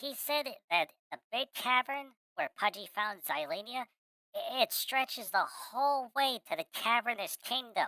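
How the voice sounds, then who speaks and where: In a put-on character voice, a female-sounding speaker talks at a moderate pace with a high pitch. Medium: virtual streamer. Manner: refers to himself in third person.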